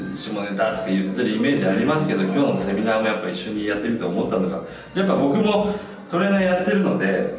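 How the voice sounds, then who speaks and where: Speech comes at a very fast pace, with audible room echo and faint music in the background. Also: man. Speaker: gym host, trainer. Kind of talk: casual group talk. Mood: cheerful, laughing. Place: gym.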